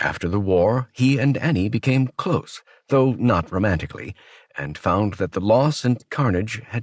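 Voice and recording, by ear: Natural-voiced reading aloud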